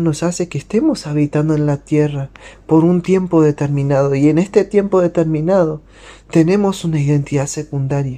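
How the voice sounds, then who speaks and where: A man speaks with a fairly high pitch and a dark, mellow tone. His pace is moderate and his intonation fairly even. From Uruguay. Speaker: missionary. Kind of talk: devotional talk.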